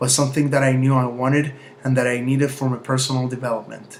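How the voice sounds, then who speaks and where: A man's very fast, monotone delivery with flat intonation, noticeable background noise, and audible room echo. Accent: Spanish. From Mexico. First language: Spanish. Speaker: university student. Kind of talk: prepared self-presentation for a class assignment. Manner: formal.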